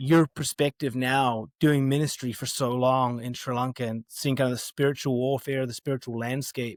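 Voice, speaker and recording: A man with an American accent, medium pitch and ordinary pitch variation, in a dry, close sound with no echo. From New Zealand. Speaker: podcast host. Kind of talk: casual interview chat. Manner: halting, many fillers.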